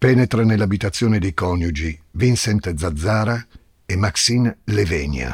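A somewhat breathy man at a very deep, low pitch, speaking at a very slow pace with ordinary pitch variation. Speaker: podcast host narrator. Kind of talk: true-crime narration, scripted and dramatic. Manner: tense, suspenseful, measured storytelling.

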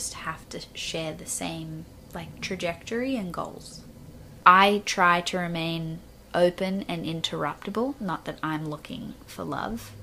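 A woman with an Australian accent talks fairly slowly at a fairly low pitch, with ordinary pitch variation and big swings in loudness. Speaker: podcast guest.

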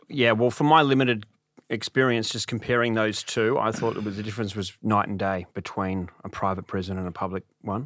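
This speaker has an Australian accent and a fairly quick pace with ordinary pitch variation. The recording is very clean, with a silent background. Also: man, fairly low pitch for a man. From Sydney, Australia. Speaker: stand-up comedian and former prisoner. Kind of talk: interview.

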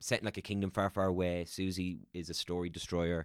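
A man with an Irish accent, very deep and low in pitch, at a moderate pace. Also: dry, close sound with no echo. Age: 30s. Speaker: actor and voiceover artist. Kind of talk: casual chat.

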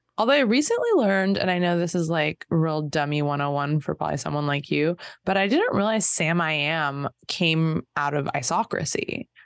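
A woman with a Southern California accent speaks at a fairly low pitch and at a very even loudness. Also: ordinary pitch variation, moderate pace. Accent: Southern California, Valley Girl speech. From Los Angeles area, California. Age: 40s. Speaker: podcaster. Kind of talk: casual chat.

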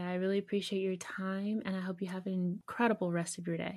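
Dark, mellow and somewhat breathy, the voice moves at a fairly quick pace. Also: woman. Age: 30s. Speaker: podcast host. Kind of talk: casual interview. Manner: animated.

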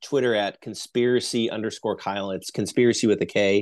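An unremarkable speaking voice from a man with an American accent, medium in pitch, fairly even in intonation, over a quiet background. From US Midwest, Northeast Ohio. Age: 30s. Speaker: conspiracy researcher. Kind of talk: casual chat.

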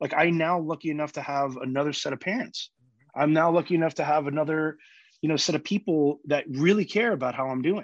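Against a quiet background, a man with an American accent talks at a very fast pace in a fairly high voice with ordinary pitch variation. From New York. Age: 30s. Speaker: cancer survivor and long distance cyclist. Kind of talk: casual interview.

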